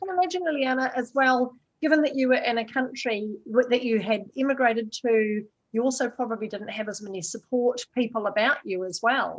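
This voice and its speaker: Talking at a fairly quick pace, a woman with a New Zealand accent uses a high pitch with ordinary variation. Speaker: podcast host. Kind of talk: interview.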